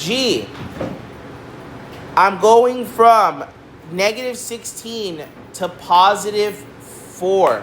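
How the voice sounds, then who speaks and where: Noticeable background noise and audible room echo surround the recording. The woman speaking shows ordinary pitch variation. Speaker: math teacher. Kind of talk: lecture.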